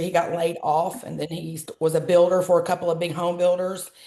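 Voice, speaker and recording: In a Southern accent, a woman speaks with a fairly low pitch. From US South, Georgia. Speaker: travel business entrepreneur. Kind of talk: interview. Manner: chatty.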